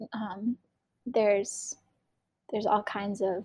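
The sound is dry and close, without any echo. The speaker is a woman with an American accent. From northeastern US. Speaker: educator and artist. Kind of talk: casual interview chat. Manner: hesitant, with frequent fillers.

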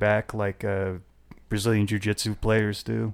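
An ordinary speaking voice at a moderate pace. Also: man. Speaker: podcast host. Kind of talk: casual chat.

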